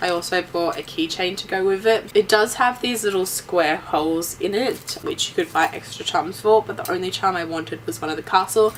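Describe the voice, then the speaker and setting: A woman's medium-pitched, enthusiastic voice with an Australian accent, fairly quick, with ordinary pitch variation, over noticeable background noise. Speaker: YouTuber. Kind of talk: haul video monologue. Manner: casual, enthusiastic.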